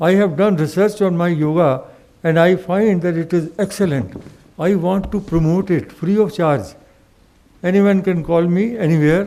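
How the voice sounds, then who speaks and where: The tone is dark and mellow, and the loudness stays very even. Delivery comes at a moderate pace with fairly even intonation. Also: man, high pitch for a man. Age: 70s. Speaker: retired broadcast engineer and media professor. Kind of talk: impromptu speech to audience. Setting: stage with audience.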